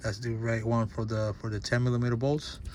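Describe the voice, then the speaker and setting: The speaker is a man with a medium pitch. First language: not English. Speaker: DIY auto mechanic. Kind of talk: tutorial. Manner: halting, repeats words; casual.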